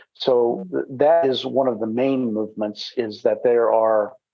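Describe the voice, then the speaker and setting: A man talks at a fairly slow pace in a medium pitch. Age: 60s. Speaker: executive director of a self-defense organization. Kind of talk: interview. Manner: halting, frequent fillers.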